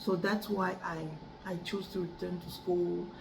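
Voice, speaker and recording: A woman with a French accent, fairly low pitch and monotone, flat intonation at a fairly slow pace, with audible room echo and noticeable background noise. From Cameroon. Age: 30s. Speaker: adult student. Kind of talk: class speech assignment. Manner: halting, with many repetitions and restarts.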